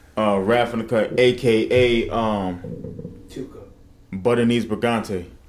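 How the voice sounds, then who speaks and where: Speaking at medium pitch, a man keeps a monotone, flat intonation at a very slow pace. Long, frequent pauses break up his speech, and there is audible room echo. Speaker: podcast co-host. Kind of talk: casual chat. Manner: loud.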